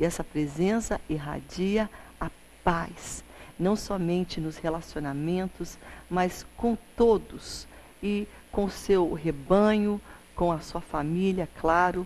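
The speech moves at a very slow pace, with fairly even intonation and long, frequent pauses. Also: woman, fairly low pitch for a woman. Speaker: TV presenter. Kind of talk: devotional address to camera. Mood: warm, celebratory. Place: studio. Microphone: lapel.

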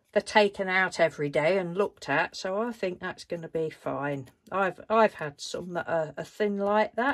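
A woman is talking. Her pace is moderate. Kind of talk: casual vlog chat. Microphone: phone near.

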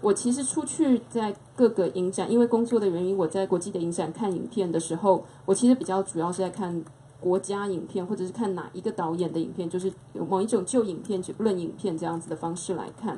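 A woman talks at a fairly quick pace with ordinary pitch variation, over light background noise. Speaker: film festival curator. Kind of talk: panel talk. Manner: casual, hesitant. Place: shop. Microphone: handheld.

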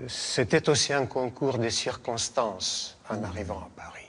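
Male voice at a medium pitch with ordinary pitch variation. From Bessarabia and Romania. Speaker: painter and author. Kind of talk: interview. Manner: halting. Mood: calm, reflective. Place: church. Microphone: lapel.

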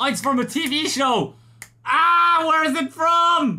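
At a slow pace, a man speaks with an extremely high pitch, lively intonation, and a bright, sharp tone.

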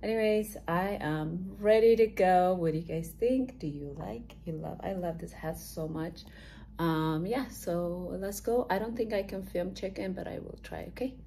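Light background noise accompanies a woman speaking at a moderate speed. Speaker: fitness competitor vlogger. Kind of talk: casual vlog chat. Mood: excited, upbeat. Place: home room. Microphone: phone near.

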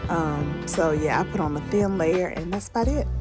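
With clear music in the background, a woman in a Southern US accent speaks at a moderate pace and a fairly low pitch. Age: 40s. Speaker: vlogger. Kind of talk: casual vlog talk to camera. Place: bathroom. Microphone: phone near.

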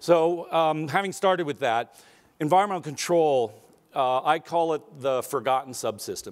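In a quiet background, a man with an American accent talks at a moderate pace with ordinary pitch variation. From Arizona, US. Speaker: aerospace company executive; keynote speaker. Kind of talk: keynote speech. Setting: stage with audience. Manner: casual with fillers. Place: hall.

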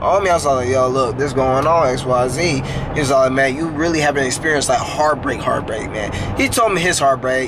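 A man's pitch varies normally as he talks at medium speed, with clear background noise around him. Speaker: vlogger. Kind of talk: casual vlog chat. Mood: reflective, apologetic. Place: car. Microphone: phone near.

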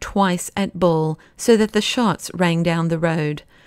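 On a very clean recording with a silent background, a woman speaks at a fairly slow pace in an animated tone with ordinary pitch variation. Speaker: audiobook narrator. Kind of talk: dramatic audiobook narration of a novel, with quoted dialogue. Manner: animated, vivid pacing that builds suspense, brisk action and mirthful dialogue.

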